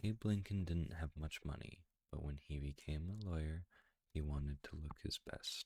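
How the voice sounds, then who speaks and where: A man's very deep, low, somewhat breathy voice, fairly slow, in a dry, close sound with no echo. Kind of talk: children's book read-aloud.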